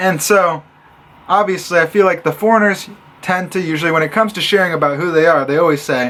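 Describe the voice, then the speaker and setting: A man with an American accent speaks at a high pitch with ordinary pitch variation. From US Midwest, Illinois. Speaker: vlogger. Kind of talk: vlog rant. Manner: animated.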